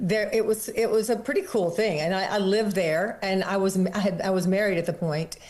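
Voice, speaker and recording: A woman talks at a fairly quick pace with medium pitch, fairly even intonation and very even loudness, hardly pausing at all. Noticeable background noise runs underneath. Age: 70s. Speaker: fitness studio founder and author. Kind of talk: interview.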